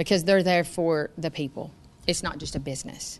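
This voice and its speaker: A woman speaks with a Tennessee accent. Her pace is moderate and her intonation fairly even. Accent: US Southern (Tennessee). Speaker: farmer and high school teacher. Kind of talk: interview.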